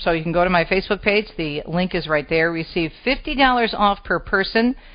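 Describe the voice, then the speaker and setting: In an American accent, a woman speaks in a plain, everyday voice at a medium pitch with ordinary pitch variation. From Detroit East Side, Michigan. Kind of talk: talk radio interview.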